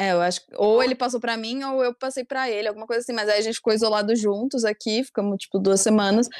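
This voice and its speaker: A woman's fairly high voice at a very fast pace, fairly even in intonation, with hardly any pauses. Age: 20s. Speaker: youtuber. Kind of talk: casual chat.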